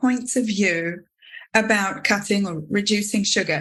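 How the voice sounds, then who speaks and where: A woman with an English accent speaks with lively intonation and a bright, sharp tone. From UK. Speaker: podcast host and teacher. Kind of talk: interview conversation.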